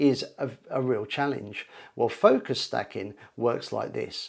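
Ordinary pitch variation from a man at a moderate pace, quiet background behind. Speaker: photography teacher. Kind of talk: tutorial. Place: home room. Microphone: lapel.

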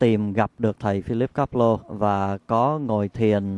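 Intonation stays fairly even as a man talks at medium pitch. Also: dry, close sound with no echo. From Vietnam. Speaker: meditation practitioner, interviewee. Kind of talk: interview testimony. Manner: halting, with fillers.

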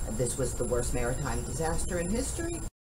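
A woman speaks at a moderate pace. Noticeable background noise can be heard. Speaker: channel host. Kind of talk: historical documentary narration. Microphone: camera far.

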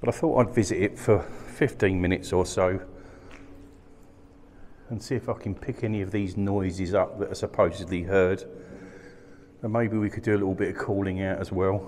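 A man speaks at a fairly quick pace in a fairly low pitch. His pitch varies in an ordinary way, over light background noise. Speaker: paranormal investigator vlogger. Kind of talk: casual vlog chat. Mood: quiet, slightly tense. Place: tunnel cave. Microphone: phone near.

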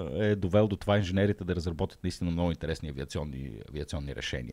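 A man speaks with lively intonation in a very deep, low pitch, with a dark, mellow tone and vocal fry. The background is quiet. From Bulgaria, Shumen; Bulgaria. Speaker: science podcast host. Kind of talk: casual chat. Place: studio. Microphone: studio mic.

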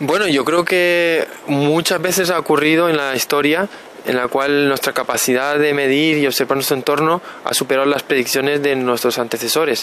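With an unremarkable speaking voice, a man talks at a moderate pace and fairly high pitch, his intonation fairly even, over light background noise in a dry sound with no echo. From Canary Islands (Las Palmas), born in Burgos. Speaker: particle physicist. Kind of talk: interview. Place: waterside. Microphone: handheld.

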